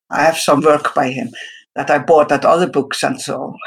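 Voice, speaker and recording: A woman's very deep, low voice at a moderate pace with ordinary pitch variation. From Iceland. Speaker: artist. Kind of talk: interview.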